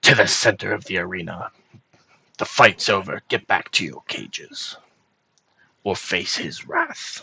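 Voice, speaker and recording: Using a put-on character voice, a raspy man speaks at a moderate pace with long, frequent pauses. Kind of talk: gruff. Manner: commanding, threatening.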